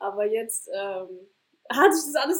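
A woman at a fairly slow pace, her pitch varying in an ordinary way. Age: 20s. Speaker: startup founder and student. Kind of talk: casual interview. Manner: hesitant, many fillers.

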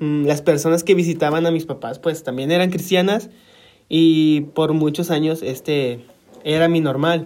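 A man with a fairly high pitch talks at a fairly slow pace, keeping his intonation fairly even. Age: 20s. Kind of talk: personal testimony. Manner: halting, many fillers.

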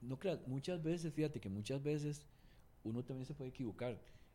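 Here a man speaks at a fairly quick pace and a medium pitch. His tone is dark and mellow, and somewhat breathy. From Cuba. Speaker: singer-songwriter and record producer. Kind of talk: casual interview.

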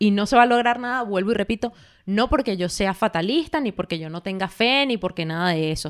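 In a very clean recording with a silent background, a woman speaks in a normal speaking voice, fairly high in pitch, with lively intonation. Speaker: podcast co-host. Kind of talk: casual chat.

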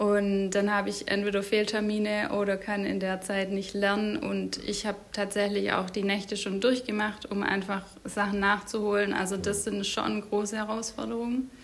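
A woman's monotone, flat delivery at a moderate pace with hardly any pauses, over noticeable background noise. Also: medium pitch for a woman. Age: 30s. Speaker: medical student and mother. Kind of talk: interview.

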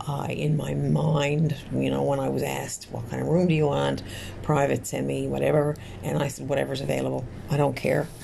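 A woman with a Newfoundland accent at a moderate pace, amid noticeable background noise and audible room echo. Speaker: podcast host. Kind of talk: casual monologue. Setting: hospital room.

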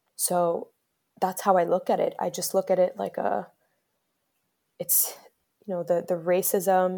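The recording is very clean, with a silent background. On it, a woman talks at a moderate tempo. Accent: American. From US, Bronx New York and Miami, Dominican family. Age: 20s. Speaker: community organizer and podcaster. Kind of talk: personal testimony interview.

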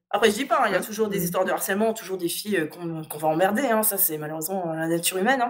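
Against noticeable background noise, a woman of medium pitch speaks at a very fast pace with ordinary pitch variation. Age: 30s. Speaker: gamer and video game blogger. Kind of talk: casual interview.

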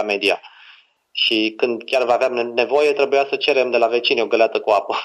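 With a plain, everyday voice, a man speaks at a moderate pace using ordinary pitch variation. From Romania. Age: 20s. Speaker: author and copywriter. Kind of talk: casual interview.

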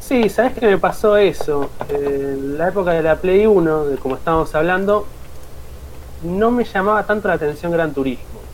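At a moderate speed and with ordinary pitch variation, a high-pitched man talks as background noise is noticeable. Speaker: podcast co-host, teacher trainee. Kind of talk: casual chat. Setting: live stream.

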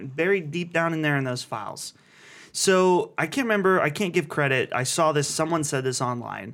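On a very clean recording with a silent background, a man uses a normal speaking voice at a fairly high pitch, with a moderate pace and ordinary pitch variation. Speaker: podcast host. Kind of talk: casual chat. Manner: joking, chatty.

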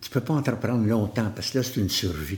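This man has a Quebec accent, lively intonation and vocal fry. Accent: Québécois French. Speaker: motivational speaker. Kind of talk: interview conversation.

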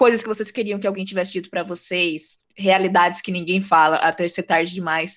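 A woman talks in an animated tone at a medium pitch. Her pace is fairly quick, with hardly any pauses. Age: 20s. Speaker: podcast host. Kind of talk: casual interview chat.

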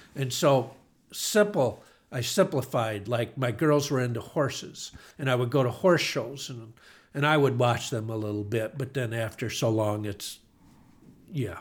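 A man with an American accent speaks at a medium pitch and sounds somewhat breathy. The recording is very clean, with a silent background. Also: ordinary pitch variation, fairly slow pace. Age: 60s. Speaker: retired car dealership owner. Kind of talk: casual interview.

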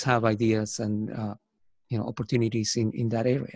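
This man has a Spanish accent. His intonation stays monotone and flat. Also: very clean recording, silent background. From Argentina. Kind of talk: casual interview chat. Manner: hesitant, repeats words.

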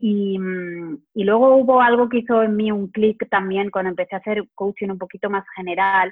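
A woman with an unremarkable speaking voice, medium pitch and fairly even intonation. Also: moderate pace. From Spain, Barcelona. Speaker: psychologist and health coach. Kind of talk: interview conversation.

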